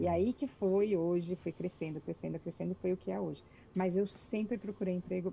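A woman speaks at a moderate pace with a Brazilian accent and a medium pitch. Her tone is dark, mellow and somewhat breathy, with fairly even intonation. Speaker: executive secretary, immigrant. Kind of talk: interview. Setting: video call.

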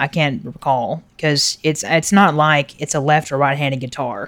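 A man with a plain, everyday voice, fairly high in pitch, at a moderate pace with fairly even intonation. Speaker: podcast host. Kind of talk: casual podcast chat about drummers and music. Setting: home recording with TV noise from neighbor downstairs.

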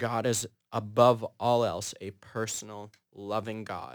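Very slow and fairly even in intonation, a man with an Upper Midwest accent speaks at a medium pitch. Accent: Upper Midwest American. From Minnesota (Fergus Falls). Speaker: theology student. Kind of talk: casual chat.

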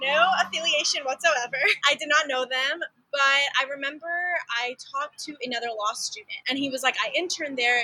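A woman's raised, projected voice at a high pitch, in an American accent, with ordinary pitch variation over noticeable background noise. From Texas, small town near Dallas. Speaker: law student. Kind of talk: casual interview.

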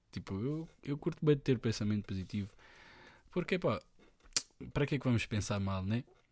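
A man's medium-pitched voice, lively in intonation, at a moderate pace with long, frequent pauses. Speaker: podcaster. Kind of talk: casual monologue. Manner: halting.

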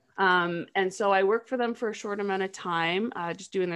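Against a quiet background, a woman with a Canadian accent speaks at a moderate pace and medium pitch, with fairly even intonation and a plain, everyday voice. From Canada, small town. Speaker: digital marketer and anti-trafficking advocate. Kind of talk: interview conversation.

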